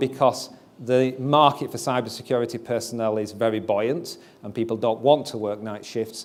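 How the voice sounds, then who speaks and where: Delivered at a moderate pace in a Yorkshire accent, the speech shows ordinary pitch variation. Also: man. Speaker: company CEO and founder. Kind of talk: investor presentation.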